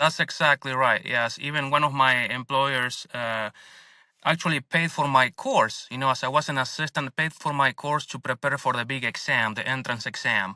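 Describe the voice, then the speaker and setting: The tone is bright and sharp, with a Spanish accent. Intonation stays fairly even at a moderate pace. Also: man, fairly high pitch for a man, dry, close sound with no echo, very clean recording, silent background. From Argentina. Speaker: dentist and business owner. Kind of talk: interview podcast.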